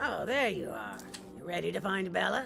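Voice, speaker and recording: A put-on character voice speaks at a moderate pace. Clear music plays in the background. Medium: video game. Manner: curt, scolding, impatient.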